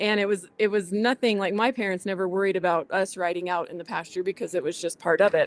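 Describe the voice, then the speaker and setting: A woman speaks at a very fast pace with hardly any pauses. Her intonation stays fairly even. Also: medium pitch for a woman. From southwest New Mexico. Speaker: rancher. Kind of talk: interview. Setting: at a conference.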